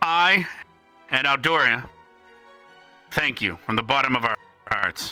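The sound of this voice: A man performs a put-on character voice at medium pitch, bright and sharp in tone. He talks at a slow pace with lively intonation while faint music plays in the background.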